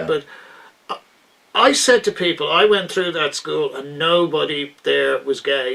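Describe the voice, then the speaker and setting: A man speaks with an Irish accent. Noticeable background noise is present. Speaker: interview host. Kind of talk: interview questions.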